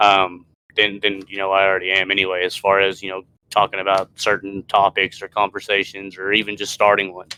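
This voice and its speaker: A man at a fairly quick pace, fairly low in pitch, with monotone, flat intonation. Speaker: podcast co-host. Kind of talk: casual chat. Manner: loud; halting, many fillers.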